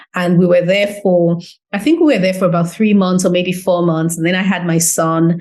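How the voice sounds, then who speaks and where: In an English accent, a woman talks at a moderate pace and medium pitch, using an animated tone with ordinary pitch variation. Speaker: business owner. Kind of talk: interview.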